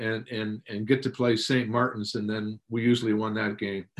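A man with an American accent, medium pitch, moderate pace. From Tacoma, Washington, US. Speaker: former pro football player and trainer. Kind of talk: casual interview. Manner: halting, many fillers.

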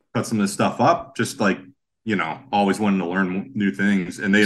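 A man with an American accent, fairly low pitch, ordinary pitch variation and a very fast pace. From western Pennsylvania, Sharon. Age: 40s. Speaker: chef and breakfast cart owner. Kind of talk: casual interview chat.

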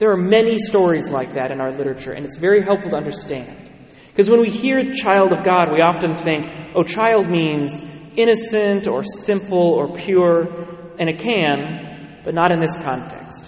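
Audible room echo and noticeable background noise surround the recording. A man speaks at a moderate pace with a high pitch and ordinary pitch variation. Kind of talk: sermon. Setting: church.

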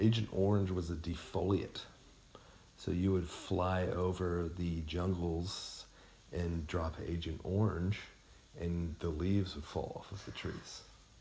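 A man speaks at a fairly slow pace in a very deep, low voice, somewhat breathy and delivered in a flat monotone. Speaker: podcast host. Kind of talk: casual chat.

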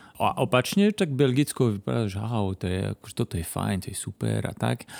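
A man speaks at a moderate pace in a fairly low voice, recorded dry and close with no echo. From Belgium, Flanders. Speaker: project coordinator. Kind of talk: casual chat. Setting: in-person recording in Košice. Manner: halting.

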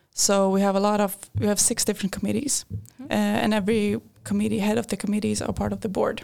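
A woman with a Swedish accent talks at a very fast pace. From Sweden, Linköping. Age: 20s. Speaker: engineering student. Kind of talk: casual interview. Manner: hesitant, many fillers.

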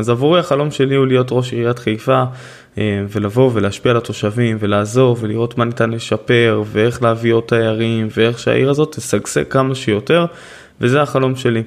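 Using a plain, everyday voice at medium pitch, a man talks at a moderate pace with fairly even intonation and very even loudness. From Israel, Haifa. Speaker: podcast host and author. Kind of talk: solo podcast monologue.

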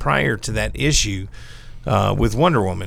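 A man with vocal fry at a moderate pace. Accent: American. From US South. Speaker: comic book podcast panelist. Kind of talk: casual chat.

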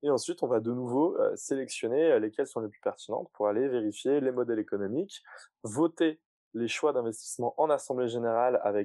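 A man talks at a fairly quick pace in a dark, mellow tone, recorded with a dry, close sound and no echo. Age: 30s. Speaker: climate startup co-founder. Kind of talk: casual interview.

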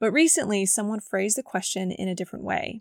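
A woman talks at a moderate pace with a medium pitch, a raspy quality and vocal fry. The sound is dry and close with no echo, and the recording is very clean over a silent background.

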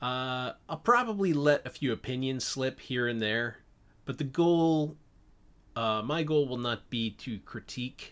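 An ordinary speaking voice at a fairly slow pace, with ordinary pitch variation, on a very clean recording with a silent background. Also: man, medium pitch for a man. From Canada. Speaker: podcast host and animator. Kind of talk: solo podcast monologue about comics. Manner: casual, filler-heavy.

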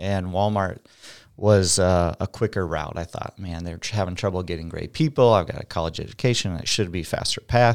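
Someone with an American accent speaks at a fairly quick pace on a very clean recording with a silent background. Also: man, very deep, low pitch for a man, ordinary pitch variation. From Iowa, US Midwest. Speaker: real estate agent, former car salesman. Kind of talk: casual interview. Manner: loud, outspoken.

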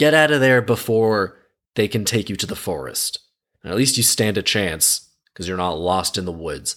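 On a very clean recording with a silent background, a man with a plain, everyday voice speaks at a moderate pace, fairly low in pitch and with lively intonation. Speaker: podcast host. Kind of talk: scripted fairy-tale narration read aloud, broken by sarcastic commentary. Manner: storyteller's tone for quoted dialogue, then snarky, irreverent, casually sweary asides; conversational, jokey.

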